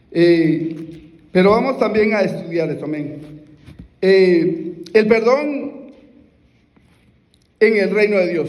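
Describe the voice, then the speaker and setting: This man talks at a high pitch with lively intonation and a very slow pace. Long pauses come often, and the room echo is audible. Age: 60s. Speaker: preacher. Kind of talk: sermon. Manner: halting.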